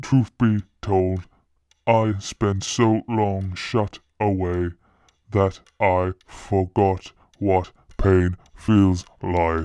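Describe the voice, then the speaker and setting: In a put-on character voice, a man speaks with a very deep, low pitch and a solemn tone. His pace is very slow. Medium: read story. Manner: solemn, formal.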